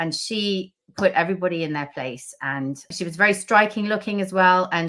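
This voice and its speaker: In a British accent, a woman speaks at a moderate pace with ordinary pitch variation and a bright, sharp tone. The recording is very clean, with a silent background. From southern Africa. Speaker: novelist. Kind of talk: interview.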